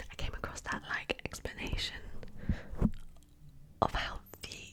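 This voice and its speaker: Whispering comes at a fairly slow pace over noticeable background noise. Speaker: ASMR creator. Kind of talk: ASMR whispered talk about science facts. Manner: whispered, rambling, casual.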